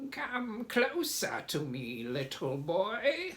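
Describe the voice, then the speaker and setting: A put-on character voice, fairly high in pitch and creaky, swings very widely in pitch. It goes at a very slow pace. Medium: read story. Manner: conspiratorial.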